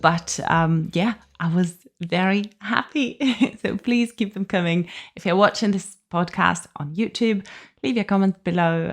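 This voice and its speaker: A woman with a non-native accent, medium pitch, ordinary pitch variation and a fairly slow pace. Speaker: podcast host. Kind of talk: casual podcast talk.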